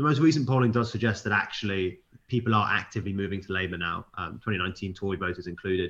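A man with a British accent, fairly low pitch and very fast pace. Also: ordinary pitch variation. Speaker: news editor. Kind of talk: casual chat. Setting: remote recording.

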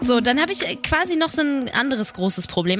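Talking at a very fast clip, a woman with a high pitch uses lively intonation and a bright, sharp tone. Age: 20s. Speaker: podcast host. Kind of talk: casual chat.

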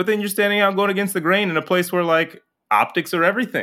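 This man's voice has a bright, sharp tone and an American accent, on a very clean recording with a silent background. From Chicago, South Side. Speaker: stand-up comedian and podcaster. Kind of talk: casual chat.

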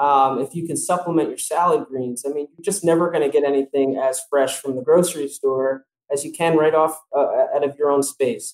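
With a plain, everyday voice, a man talks at a fairly quick pace and fairly high pitch, his intonation fairly even but his loudness swinging widely. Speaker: farmer. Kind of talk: interview. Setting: video call.

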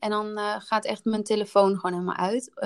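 At a moderate pace and medium pitch, a woman speaks in a plain, everyday voice, captured in a very clean recording with a silent background. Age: 30s. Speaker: podcast host, wellbeing business co-founder. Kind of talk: casual chat.

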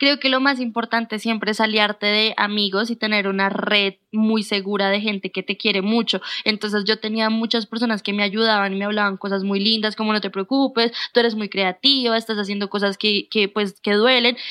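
With monotone, flat intonation, a woman talks at a fairly quick pace and fairly high pitch, with hardly any pauses. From Colombia, Bogotá. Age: 20s. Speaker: booktuber and journalist. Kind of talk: casual interview chat.

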